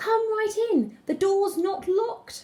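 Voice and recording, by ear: A man in a put-on character voice speaks at a fairly slow pace, his pitch extremely high.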